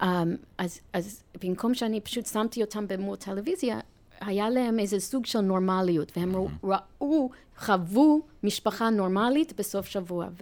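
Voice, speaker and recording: Speaking at a moderate pace, a woman with an American accent uses a medium pitch and ordinary pitch variation. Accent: American accent in Hebrew. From US, New York. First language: English (speaking Hebrew). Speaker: nonprofit chair and marketing executive. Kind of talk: interview. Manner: halting.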